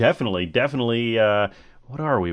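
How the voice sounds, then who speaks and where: This man has a plain, everyday voice. He speaks at a medium pitch with lively intonation. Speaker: podcast host. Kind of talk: casual solo podcast monologue. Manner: rambling, casual, chatty.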